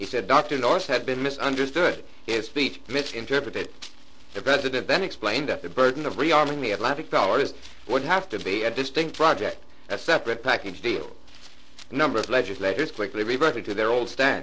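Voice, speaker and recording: Bright and sharp in tone, a man speaks at a fairly quick pace in a medium pitch. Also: ordinary pitch variation. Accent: American. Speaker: radio news announcer. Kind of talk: vintage radio news report.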